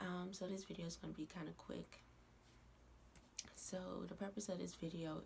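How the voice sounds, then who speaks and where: A woman speaks quietly at a moderate pace. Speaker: YouTuber. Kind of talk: casual vlog rant. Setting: at home at night. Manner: quiet, low voice; hesitant with fillers.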